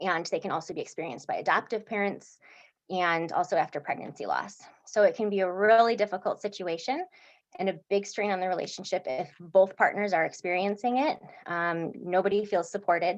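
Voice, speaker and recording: Against a quiet background, a woman talks at a fairly quick pace and medium pitch with ordinary pitch variation. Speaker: psychiatric nurse practitioner. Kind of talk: educational presentation.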